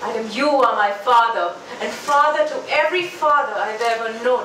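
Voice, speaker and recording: A woman talks at a fairly slow pace, with audible room echo and light background noise. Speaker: open mic poet. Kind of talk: spoken word poetry performance. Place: bar.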